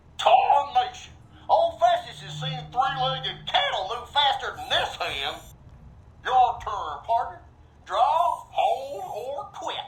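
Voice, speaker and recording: In a put-on character voice with a Western US accent, a high-pitched speaker drawls at a fairly slow pace. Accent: old west cowboy. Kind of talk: cowboy storyteller. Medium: video game. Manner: folksy western drawl, slang like "partner", "tarnation", "drat".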